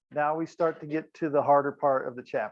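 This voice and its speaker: A man speaking with fairly even intonation. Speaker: high school chemistry teacher. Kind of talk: classroom lecture. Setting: classroom.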